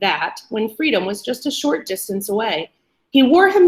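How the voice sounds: Behind the speech, the background is quiet. The voice is a natural reading voice.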